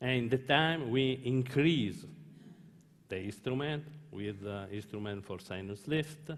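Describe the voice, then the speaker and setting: A man with an Italian accent speaks at a medium pitch and a fairly slow pace, with ordinary pitch variation. The room has an audible echo. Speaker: dentist and company founder. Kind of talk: opening speech. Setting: conference stage with audience. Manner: halting.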